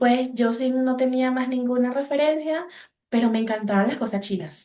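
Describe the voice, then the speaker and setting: With a Venezuelan accent, the speaker uses a dark, mellow tone at a moderate pace. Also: woman. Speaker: psychologist. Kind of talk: podcast interview. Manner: halting.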